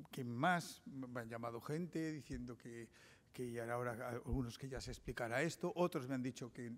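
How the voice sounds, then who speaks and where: This man talks at a fairly slow pace. The pitch variation in his voice is ordinary. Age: 60s. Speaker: investigative journalist. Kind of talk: conference talk. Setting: seminar with audience. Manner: hesitant, with frequent fillers and restarts.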